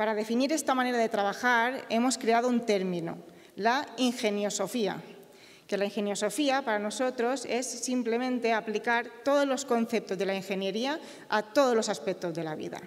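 A woman with a Mallorcan accent and a fairly high pitch, at a moderate pace. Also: ordinary pitch variation. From Mallorca, Balearic Islands. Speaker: company co-founder and engineer. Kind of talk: award acceptance speech. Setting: stage with audience. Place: stage. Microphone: podium.

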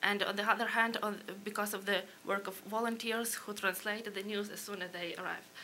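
Amid light background noise, a woman with a Ukrainian accent talks fairly quickly in a monotone, flat delivery. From Ukraine. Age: young. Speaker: policy analyst. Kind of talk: panel presentation. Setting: stage with audience. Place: hall. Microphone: podium.

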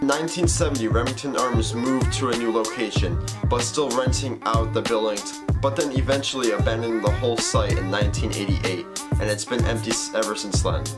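Loud music plays in the background. A man talks over it at a very fast pace. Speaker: vlogger. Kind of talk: casual vlog intro. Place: home room. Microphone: phone near.

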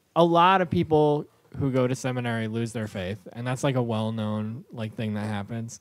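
A man speaks at a moderate pace with a American accent, a plain, everyday voice, and medium pitch. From rural New York, Orange County. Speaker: stand-up comedian. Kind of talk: casual chat.

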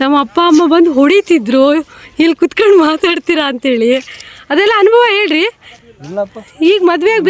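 Her pitch extremely high, a woman speaks with lively intonation and very even loudness. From Karnataka, Shivamogga district (Anandapura). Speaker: tailor and tailoring video creator. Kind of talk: vlog walk-and-talk. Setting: outdoors at railway station.

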